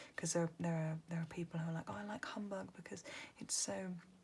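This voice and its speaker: The speaker is soft-spoken and whispering. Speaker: ASMR creator. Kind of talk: whispered ASMR lyric reading and chat. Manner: whispering or soft-spoken.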